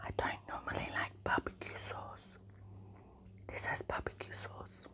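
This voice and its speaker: A woman is whispering. She keeps a fairly slow pace. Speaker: ASMR mukbang host. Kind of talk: ASMR mukbang whispers. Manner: soft whispered. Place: home room.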